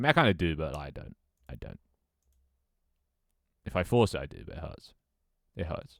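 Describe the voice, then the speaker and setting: In a very clean recording with a silent background, a man talks at a fairly quick pace in a robotic, very deep, low voice with vocal fry, very wide pitch swings and big swings in loudness. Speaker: streamer reading chat. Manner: robotic, narrow pitch range.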